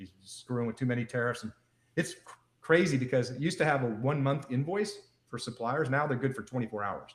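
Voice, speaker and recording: A man's medium-pitched, somewhat breathy voice at a very fast pace, with big swings in loudness and ordinary pitch variation. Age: 60s. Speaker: wellness device entrepreneur. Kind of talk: interview on a live show. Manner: animated.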